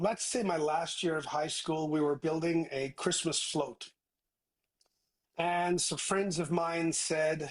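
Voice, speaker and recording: A man with a Newfoundland accent speaks at a very slow pace with a fairly high pitch. His loudness is very even and his intonation fairly even. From Newfoundland, Canada (Placentia). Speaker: tech entrepreneur. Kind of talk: interview.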